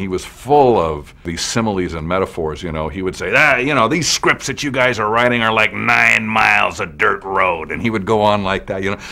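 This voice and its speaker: A man with fairly low pitch talks at a fairly quick pace, with hardly any pauses. His intonation is lively, and there is noticeable background noise. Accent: American. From Los Angeles, US West Coast. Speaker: TV writer and producer. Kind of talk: interview testimony. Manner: halting, repeats words.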